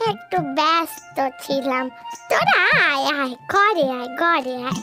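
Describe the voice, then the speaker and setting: With clear music in the background, a woman performs a cartoonish character voice full of very wide pitch swings. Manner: fretful, insistent.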